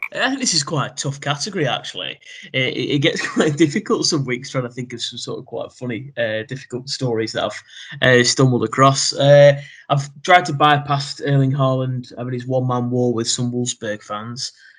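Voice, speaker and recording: A man talks at a fairly quick pace in a British accent. His pitch is fairly high, with ordinary variation. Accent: British, noticeable. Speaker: football podcast co-host. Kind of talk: casual chat.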